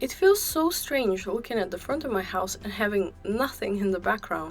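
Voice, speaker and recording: Over music in the background, a woman talks at a moderate pace and medium pitch with lively intonation. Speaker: video game builder. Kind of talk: casual gaming voiceover. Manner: friendly, cutesy.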